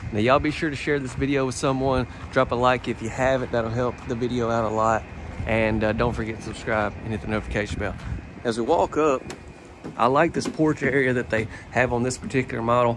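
A man's very fast speech with fairly even intonation, in a dry sound with no echo and noticeable background noise. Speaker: presenter. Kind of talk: casual vlog tour commentary. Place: street. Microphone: phone near.

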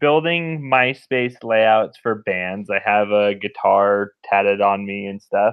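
Very slow speech from a man, over a quiet background. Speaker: remote podcast guest. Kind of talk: interview answer. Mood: jokey, laughing, animated. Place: home room. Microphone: video call.

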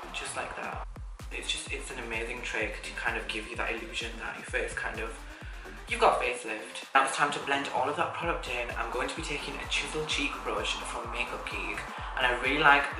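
Fairly quick speech over clear background music. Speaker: makeup vlogger. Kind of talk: tutorial. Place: home room.

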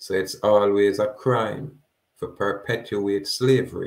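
In a very clean recording with a silent background, a man speaks with a Jamaican accent. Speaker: activist. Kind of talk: monologue lecture with legal readings. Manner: exhortative.

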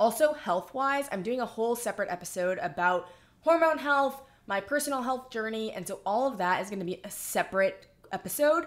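A woman with a fairly high pitch, lively intonation and a fairly quick pace. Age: 20s. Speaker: podcast host and influencer; podcast host, influencer. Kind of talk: casual chat; casual vlog chat. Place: home room.

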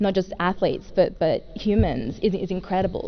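A woman with an Australian accent speaks in a fairly low pitch. Light background noise can be heard. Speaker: wheelchair racer. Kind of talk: press conference answers. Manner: fluent, articulate. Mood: cheerful, smiling. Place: meeting room. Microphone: podium.

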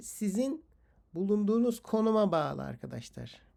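Someone speaks at a moderate pace in a very clean recording with a silent background. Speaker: English teacher. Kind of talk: lecture. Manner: rambling with hesitations.

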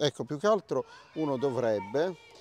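A man at medium pitch with very wide pitch swings, in a dry, close sound with no echo. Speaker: channel host and music producer. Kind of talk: casual chat. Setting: outdoors.

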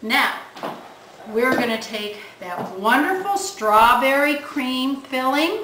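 A speaker with an American accent talks at a very slow pace in a raised, projected voice, the pitch swinging very widely. Noticeable background noise sits behind the voice. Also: woman, high pitch for a woman. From Ohio, Cleveland area; Ohio. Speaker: home cook; presenter. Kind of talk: cooking demonstration. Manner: animated. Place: kitchen. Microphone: camera far.

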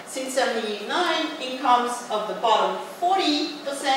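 A woman's voice with very wide pitch swings, strong room echo and noticeable background noise. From France, working-class regional background. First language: French. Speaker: professor. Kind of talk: lecture. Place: hall.

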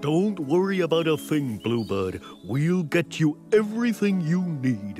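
Against clear music in the background, a man does a cartoonish character voice at a fairly high pitch and a fairly slow pace. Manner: hesitant, slow.

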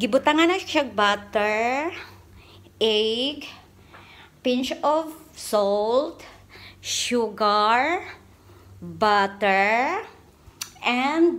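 Speaking at a very slow pace, a woman leaves long, frequent pauses. Her high voice shows big swings in loudness. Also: lively intonation. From Philippines. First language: Cebuano (speaking Tagalog). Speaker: vlogger, overseas worker; vlogger. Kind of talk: casual cooking vlog. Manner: casual, chatty. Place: kitchen. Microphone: phone near.

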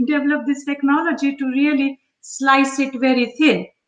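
A woman's high-pitched voice against a quiet background, with audible room echo. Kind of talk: live cooking tutorial chat. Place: kitchen. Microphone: webcam.

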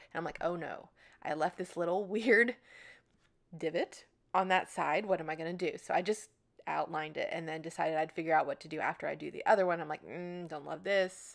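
This woman has an unremarkable speaking voice, fairly low in pitch, with fairly even intonation. She talks at a fairly quick pace on a very clean recording with a silent background. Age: 30s. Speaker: scrapbooking video creator. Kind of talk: tutorial voiceover narration. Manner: casual, chatty.

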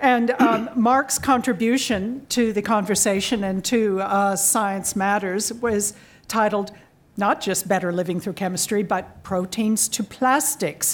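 A woman with an American accent speaks at a fairly slow pace, her pitch at a medium level and varying in an ordinary way. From Southern California. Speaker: science writer and moderator. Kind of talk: event moderation. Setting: stage with audience. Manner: animated. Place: hall. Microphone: podium.

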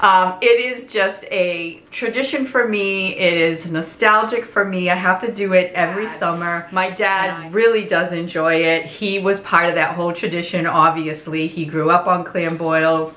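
A woman speaks with ordinary pitch variation and hardly any pauses, with audible room echo. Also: moderate pace. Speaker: home cooking vlogger. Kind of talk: casual vlog chat. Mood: warm nostalgic. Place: kitchen. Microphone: camera far.

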